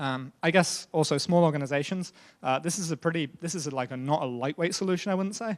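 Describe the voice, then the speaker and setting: A man speaks at a very fast pace with a fairly high pitch. The recording is very clean over a silent background. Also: ordinary pitch variation. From Britain. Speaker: software engineering lead. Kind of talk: tech conference talk. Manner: hesitant, many fillers.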